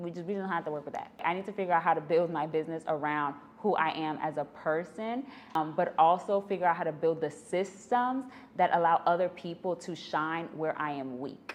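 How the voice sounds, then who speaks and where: With a New York accent, a woman talks at a fairly quick pace and a fairly low pitch, with ordinary pitch variation. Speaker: business podcaster, entrepreneur. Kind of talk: podcast monologue. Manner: animated.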